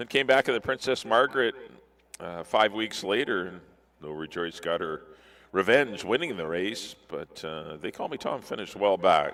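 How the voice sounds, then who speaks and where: A man with lively intonation at a moderate pace. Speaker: horse racing paddock analyst. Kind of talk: live race preview. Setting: racecourse paddock.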